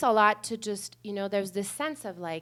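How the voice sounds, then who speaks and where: A woman's voice with fairly even intonation, on a very clean recording with a silent background. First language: not English (English is third language). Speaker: panelist, bilingual therapist. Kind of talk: conference panel talk. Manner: halting, many fillers.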